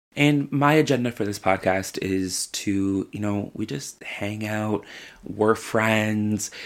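With a Newfoundland accent, a man with a fairly low pitch speaks in an animated tone on a very clean recording with a silent background. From Newfoundland, Canada. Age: 20s. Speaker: drag queen podcast host. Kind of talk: casual solo podcast monologue.

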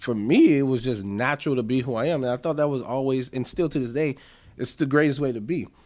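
A man at medium pitch, talking at a very fast pace with ordinary pitch variation. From US Midwest. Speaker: podcaster. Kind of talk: casual chat. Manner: articulate; talkative.

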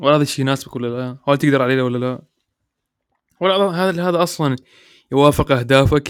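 A man speaks with ordinary pitch variation. Long pauses come often. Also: fairly high pitch for a man, moderate pace. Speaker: podcast host. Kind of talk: casual monologue. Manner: relaxed, natural.

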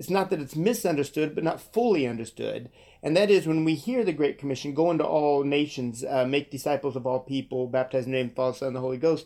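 A man with an American accent speaks in a fairly high, dark, mellow tone with ordinary pitch variation, on a very clean recording with a silent background. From Kansas. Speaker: missions organization co-founder. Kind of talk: interview.

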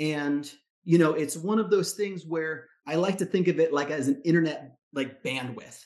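An ordinary speaking voice at a moderate pace. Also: man, fairly high pitch for a man, ordinary pitch variation. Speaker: fire service medic and coach. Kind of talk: coaching session, casual conversation.

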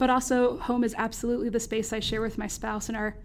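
Speaking at a fairly quick pace, a woman with an American accent uses an ordinary speaking voice, fairly high in pitch, with fairly even intonation. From North Carolina, US South. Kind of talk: casual academic conversation.

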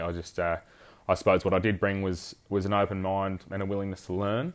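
A man's very deep, low voice in a monotone, flat intonation at a fairly quick pace, against a quiet background. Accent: Australian. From South Australia, Fleurieu Peninsula. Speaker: head stockman. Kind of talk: interview. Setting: in person.

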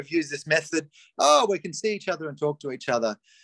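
An Australian accent with ordinary pitch variation, in a dry, close sound with no echo. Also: man. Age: 50s. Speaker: life coach. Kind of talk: casual chat. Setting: video call.

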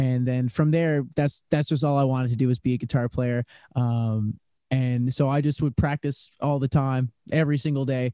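The man's voice sits at a medium pitch and carries a dark, mellow tone. He talks at a moderate pace with fairly even intonation. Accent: Newfoundland. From Newfoundland, St. John's. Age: 20s. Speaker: singer-songwriter musician. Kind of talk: casual interview chat.

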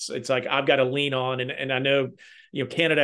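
Over a quiet background, a man speaks at medium pitch in a monotone, flat intonation. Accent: Southern US. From Kentucky. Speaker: healthcare technology consultant. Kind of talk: casual chat.

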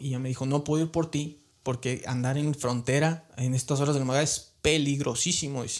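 A man talks in a plain, everyday voice at a fairly high pitch. His pace is moderate and his pitch variation ordinary. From Mexico, Guanajuato. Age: 30s. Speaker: immigrant sharing life story. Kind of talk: interview testimony.

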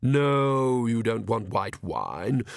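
A man uses a put-on character voice with vocal fry and lively intonation at a very slow pace. The recording is very clean, with a silent background. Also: medium pitch for a man.

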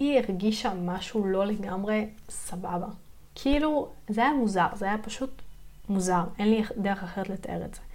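At a moderate pace, a woman talks with ordinary pitch variation while room echo is audible. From southern Israel, Yeruham. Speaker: podcast host, spiritual practitioner. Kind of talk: personal storytelling monologue. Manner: hesitant, many fillers.

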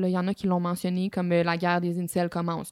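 The sound is dry and close, with no echo, in a very clean recording with a silent background. The speaker talks at a moderate pace. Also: woman. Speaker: podcast co-host. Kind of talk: casual chat.

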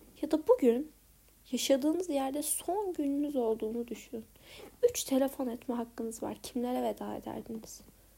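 A woman speaks at a moderate pace with a high pitch and ordinary pitch variation. Her tone is dark and mellow. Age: 20s. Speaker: podcaster. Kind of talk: personal audio diary. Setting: home bedroom. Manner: reflective. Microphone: recording on iPad held close.

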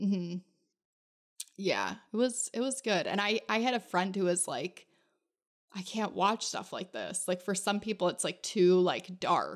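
At a fairly slow pace, the speaker uses an unremarkable speaking voice with ordinary pitch variation. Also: woman, medium pitch for a woman. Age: 30s. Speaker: podcast host. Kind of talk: casual chat. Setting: video call.

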